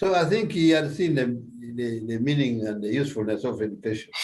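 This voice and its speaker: A man speaks with a Ugandan accent at a medium pitch. His pace is moderate and his pitch variation ordinary. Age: 70s. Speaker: retired policeman. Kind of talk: interview answer.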